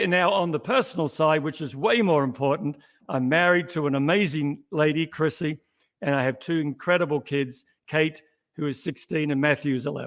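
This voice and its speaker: A fairly high-pitched man with an Australian accent, fairly quick, with ordinary pitch variation, in a very clean recording with a silent background. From Australia, Melbourne. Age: 60s. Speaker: company CEO. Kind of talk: interview.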